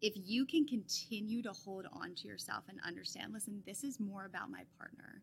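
Bright and sharp in tone with vocal fry, a woman speaks at a moderate pace. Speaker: marriage, family and sex therapist. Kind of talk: casual interview.

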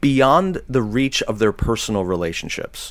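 A man speaks with a General American accent. His voice carries vocal fry. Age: 40s. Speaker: author and former pastor. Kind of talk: casual interview conversation.

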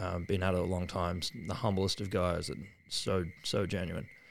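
With an Australian accent, a man speaks at a very deep, low pitch on a very clean recording with a silent background. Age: 30s. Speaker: surfboard shaper. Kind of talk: casual interview chat. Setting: at his home.

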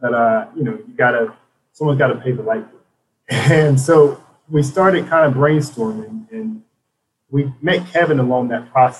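A somewhat breathy man with an American accent, fairly high in pitch, lively in intonation, with big swings in loudness and a moderate pace. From South Carolina upstate, Spartanburg. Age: 30s. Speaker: Army veteran and nonprofit co-founder. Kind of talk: casual interview.

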